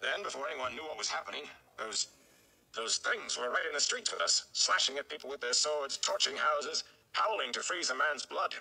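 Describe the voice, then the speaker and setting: A man uses a put-on character voice, raspy and medium in pitch. He talks at a fairly quick pace. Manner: blustering, exasperated, grim.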